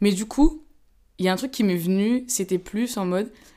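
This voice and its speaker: The intonation is lively. It's a very clean recording with a silent background. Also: woman. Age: 20s. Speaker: podcast guest. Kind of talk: casual chat.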